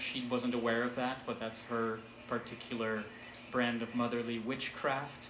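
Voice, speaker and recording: Noticeable background noise can be heard. The speech holds a moderate pace. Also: man. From Netherlands. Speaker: artist and storyteller. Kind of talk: live art talk to audience.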